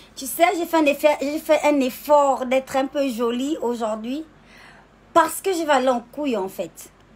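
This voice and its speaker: Very slowly, a woman speaks in a high pitch with lively intonation. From Gabon. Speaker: social media personality. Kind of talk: casual live stream monologue. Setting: live video stream. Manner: animated.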